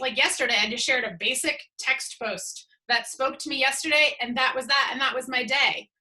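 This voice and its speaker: In a Boston accent, a woman with a high pitch and a bright, sharp tone speaks at a moderate pace in a raised, projected voice. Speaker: social media coach. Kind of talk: webinar talk. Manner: casual, conversational.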